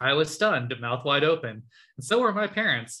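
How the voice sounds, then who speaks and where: Using an ordinary speaking voice, a man talks at a moderate pace with lively intonation. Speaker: podcast co-host. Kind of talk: casual chat.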